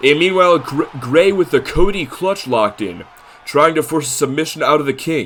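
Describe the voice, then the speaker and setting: A man talks at a moderate pace with a fairly high pitch and ordinary pitch variation. Noticeable background noise runs behind him. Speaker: video game wrestling streamer and commentator. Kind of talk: live play-by-play commentary of a simulated wrestling show. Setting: livestream. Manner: stuttering at times; animated.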